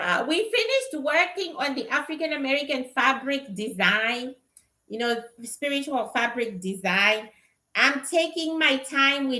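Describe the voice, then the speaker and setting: A woman's raised, projected voice, high-pitched, bright and sharp, with a Zimbabwean accent, lively intonation and a fairly slow pace. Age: 50s. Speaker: spiritual reader and livestreamer. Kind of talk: casual livestream chat. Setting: livestream.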